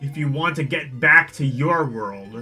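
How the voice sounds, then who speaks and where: Over faint background music, a man puts on a character voice, fairly high in pitch and delivered at a moderate pace. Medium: game stream. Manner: blunt, teasing.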